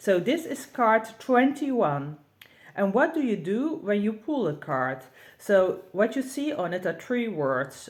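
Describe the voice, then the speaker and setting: With a Dutch accent, a woman speaks in vocal fry, her pitch swinging very widely. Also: fairly slow pace. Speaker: tarot reader and deck creator. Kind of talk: tutorial. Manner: halting.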